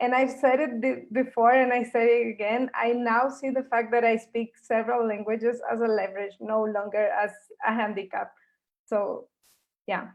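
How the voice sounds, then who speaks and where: A woman with a non-native accent speaks at a moderate pace. Her pitch is fairly high and her intonation fairly even. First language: not English. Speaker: science communicator, panel member. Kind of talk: panel discussion.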